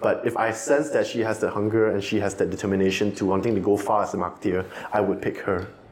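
Speaking at a very fast pace with fairly even intonation and very even loudness, a man with a fairly low pitch is heard over noticeable background noise. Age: 20s. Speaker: marketing professional. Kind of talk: casual chat.

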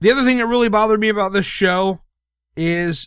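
Captured in a very clean recording with a silent background, the voice has a bright, sharp tone and very wide pitch swings. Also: man. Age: 30s. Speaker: wrestling podcast host. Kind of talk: casual chat.

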